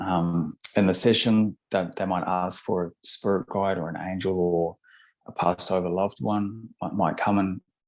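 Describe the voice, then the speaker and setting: A man with a New Zealand accent and a very deep, low pitch, moderate pace and fairly even intonation, on a very clean recording with a silent background. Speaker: hypnotherapist. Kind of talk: interview. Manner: halting, frequent word repetitions.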